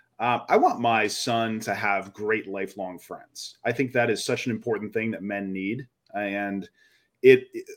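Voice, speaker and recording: This man has a normal speaking voice, fairly low in pitch, delivered at a moderate pace on a very clean recording with a silent background. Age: 40s. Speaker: podcast co-host. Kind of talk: casual chat.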